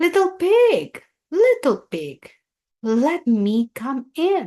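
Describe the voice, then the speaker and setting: A woman's put-on character voice, growling at an extremely high pitch, very slow and with very wide pitch swings. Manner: snarling, menacing.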